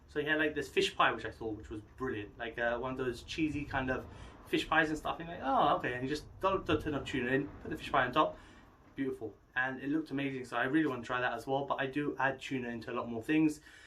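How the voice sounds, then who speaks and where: Delivered at a very fast pace in an English accent, the voice has a bright, sharp tone and fairly even intonation. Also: man, medium pitch for a man. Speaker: fitness vlogger. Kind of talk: casual monologue vlog.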